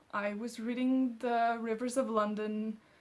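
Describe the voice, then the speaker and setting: Fairly even intonation and a very slow pace in a woman's fairly high-pitched voice. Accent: French. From France, Alsace. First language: French. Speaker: booktuber. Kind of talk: casual vlog chat.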